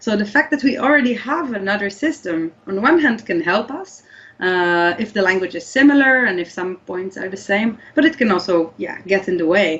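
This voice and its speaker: Speaking in an Israeli accent at medium pitch, a woman makes very wide pitch swings and hardly any pauses. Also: moderate pace. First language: Hebrew. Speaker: language scientist. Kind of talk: interview. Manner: hesitant with fillers.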